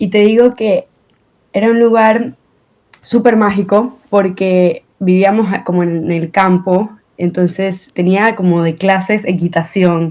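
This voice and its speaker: Speech from a woman comes very slowly. Her voice sits at a medium pitch. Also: fairly even intonation. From Venezuela. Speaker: guest, accident survivor. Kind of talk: interview podcast.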